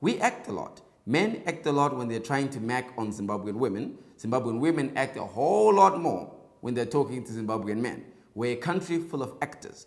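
A man's lively intonation and fairly quick pace stand out against a quiet background. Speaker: political commentary host. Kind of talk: commentary. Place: studio. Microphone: lapel.

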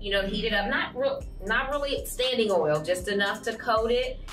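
Faint music sits behind a woman speaking at a fairly quick pace. Her pitch variation is ordinary. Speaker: cooking show host. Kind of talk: tutorial. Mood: warm, upbeat. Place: studio.

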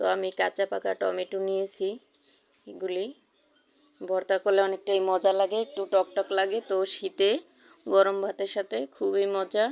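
A woman's medium-pitched voice in a monotone, flat intonation, with dry, close sound and no echo. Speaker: cooking vlogger. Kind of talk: cooking tutorial.

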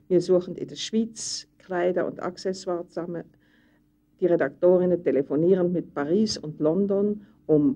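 A woman's dark, mellow voice at fairly low pitch, with ordinary pitch variation, a moderate pace and a quiet background. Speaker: women's magazine editor-in-chief. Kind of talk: 1965 documentary film narration, describing her job. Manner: brisk, lively, rattling off lists.

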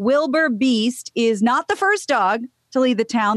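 Against a quiet background with a dry sound and no echo, a woman speaks at a fairly high pitch with ordinary pitch variation. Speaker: news co-host. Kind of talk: news reading. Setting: studio. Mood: light, amused. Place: home room. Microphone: studio mic.

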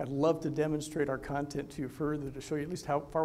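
At a very fast pace, a man speaks with a fairly high pitch and a dark, mellow tone. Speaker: physician and health tech executive. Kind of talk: conference presentation. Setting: stage with audience.

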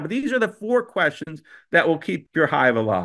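Raised and projected, a man's high, bright, sharp voice with an American accent moves at a fairly quick pace with very wide pitch swings over a quiet background. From Pennsylvania, US. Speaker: beekeeping association president and presenter. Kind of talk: presentation to an online audience. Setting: video call. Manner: conversational, repeats words and fillers. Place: home room. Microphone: video call.

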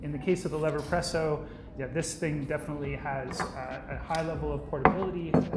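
A man speaks at a fairly quick pace against loud background noise. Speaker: presenter. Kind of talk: product overview talk. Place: office.

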